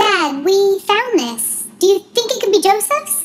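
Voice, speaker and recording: Squeaky put-on character voice from a woman at a fairly slow pace, with music in the background. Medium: read story.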